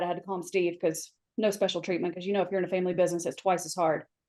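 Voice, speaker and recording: A woman speaks with an American accent at a medium pitch. Her tone is dark and mellow. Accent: Southern US, comes out when recently home. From US South. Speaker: flooring industry mentor. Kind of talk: podcast panel discussion. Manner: animated.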